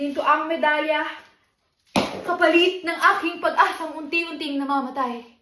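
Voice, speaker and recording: Raised and projected, a woman's high-pitched voice moves at a moderate pace with fairly even intonation. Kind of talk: spoken word poetry, a defiant protest piece about inequality in education. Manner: impassioned, defiant, rhythmic and declamatory, building to a forceful close.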